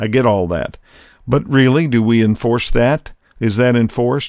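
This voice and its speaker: This man has a medium pitch and ordinary pitch variation, with a normal speaking voice. The recording is very clean, with a silent background. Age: 60s. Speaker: podcast host and leadership consultant. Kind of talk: solo commentary monologue. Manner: conversational.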